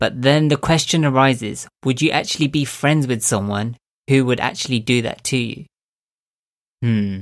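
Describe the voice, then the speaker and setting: Delivered at a fairly quick pace, a plain, everyday voice shows ordinary pitch variation in a very clean recording over a silent background. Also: man. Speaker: mind coach and podcaster. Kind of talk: solo podcast monologue. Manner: earnest, encouraging.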